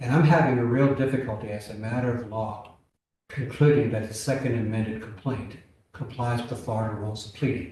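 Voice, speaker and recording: Audible room echo surrounds a man whose somewhat breathy, dark, mellow tone sits at a medium pitch, moving at a moderate pace with ordinary pitch variation. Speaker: appellate judge. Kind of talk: courtroom oral argument questioning.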